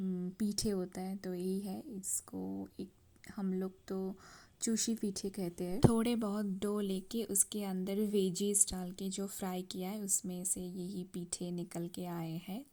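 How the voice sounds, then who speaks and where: In a Bengali accent, the voice has a dark, mellow tone and monotone, flat intonation, captured in a very clean recording with a silent background. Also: woman. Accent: Bengali-accented Hindi. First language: Bengali (speaking Hindi). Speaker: cooking vlogger. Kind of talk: casual vlog talk. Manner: halting, with many fillers.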